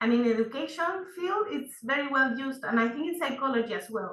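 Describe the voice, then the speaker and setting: With a Spanish accent, the speaker uses lively intonation and big swings in loudness. There are hardly any pauses. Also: woman. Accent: Spanish-speaking. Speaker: seminar participant. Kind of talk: question to instructor. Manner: hesitant.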